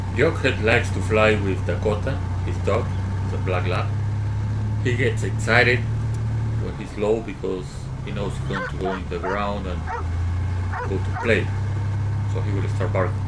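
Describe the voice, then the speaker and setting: A man at a moderate pace, with long, frequent pauses and loud background noise. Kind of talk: commentary.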